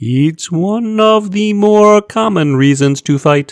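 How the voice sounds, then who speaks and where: This is a put-on character voice at a middle pitch. It goes at a fairly slow pace. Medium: read story. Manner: formal, precise.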